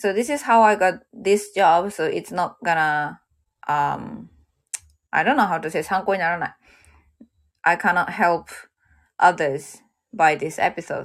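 With a Japanese accent, a woman speaks in a fairly low pitch and leaves long, frequent pauses. The recording is very clean, with a silent background. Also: ordinary pitch variation, moderate pace. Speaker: livestreamer working at a car hire shop. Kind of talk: casual livestream monologue. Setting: livestream. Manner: halting.

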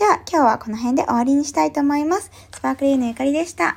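A woman talks at a very fast pace in a high pitch. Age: 30s. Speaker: business coach and podcaster. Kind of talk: self-introduction monologue. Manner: polite, with many filler words.

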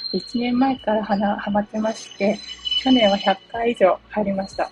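A woman's medium-pitched voice at a moderate pace, with ordinary pitch variation and noticeable background noise. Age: 40s. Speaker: blogger and podcaster. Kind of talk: solo self-introduction monologue. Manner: casual, filler-heavy.

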